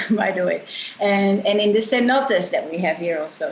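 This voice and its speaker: A woman with a Dutch accent, lively intonation and a moderate pace, with noticeable background noise. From Netherlands, Amsterdam. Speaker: eco tour company co-founder. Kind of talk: interview conversation.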